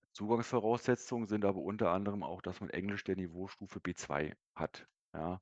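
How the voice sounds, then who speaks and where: Against a quiet background, a man with a fairly low pitch and ordinary pitch variation speaks at a moderate pace, the sound dry and close with no echo. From Berlin, Germany. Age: 30s. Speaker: sales manager and distance-learning graduate. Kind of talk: interview. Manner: hesitant, many fillers.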